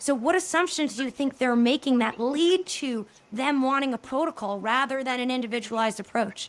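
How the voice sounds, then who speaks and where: Speaking with an American accent, a woman talks at a fairly quick pace with high pitch and ordinary pitch variation. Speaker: podcast host. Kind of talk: interview.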